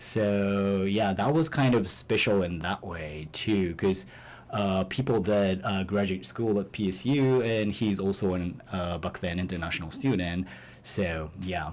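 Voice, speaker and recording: With a Japanese accent, a man speaks at a fairly low pitch and a fairly slow pace. His pitch variation is ordinary. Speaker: musician in a band. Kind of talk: radio interview. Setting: radio studio. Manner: halting, many fillers.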